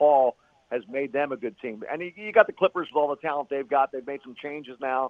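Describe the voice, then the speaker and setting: A man talks at a very fast pace in a medium pitch. His pitch variation is ordinary. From Philadelphia. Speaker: radio play-by-play announcer. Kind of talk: casual chat.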